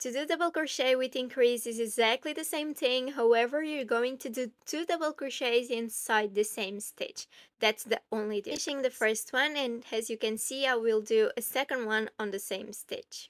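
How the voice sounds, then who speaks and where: A woman with a high pitch talks at a moderate pace with hardly any pauses and ordinary pitch variation, the sound dry and close with no echo. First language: not English. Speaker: crochet tutorial creator. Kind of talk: tutorial.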